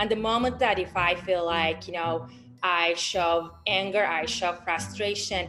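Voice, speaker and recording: With music in the background, a woman speaks in a fairly low voice at a fairly slow pace, her intonation fairly even. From Turkey. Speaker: volunteer research analyst, sociologist. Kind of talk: panel discussion. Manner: hesitant, many fillers.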